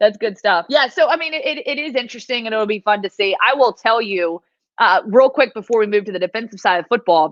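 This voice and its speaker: With an American accent, a woman talks at a very fast pace in an animated tone, her fairly high voice full of lively intonation. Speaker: sports reporter. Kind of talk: casual sports preview chat. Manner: loud.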